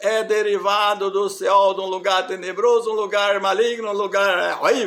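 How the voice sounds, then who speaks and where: A man's high-pitched voice runs in a monotone, flat intonation. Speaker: religious preacher. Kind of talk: sermon.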